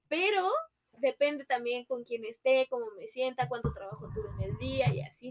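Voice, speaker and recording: Her loudness swings widely as a woman speaks at a moderate pace. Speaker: podcast co-host. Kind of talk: casual chat.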